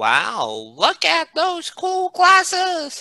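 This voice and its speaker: A put-on character voice, squeaky and thin. The pitch sits extremely high. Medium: read story.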